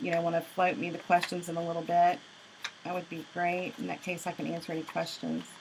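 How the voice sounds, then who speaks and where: With a Southern US accent, a woman talks at a very fast pace in a fairly low voice over noticeable background noise. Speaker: craft instructor. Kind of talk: tutorial.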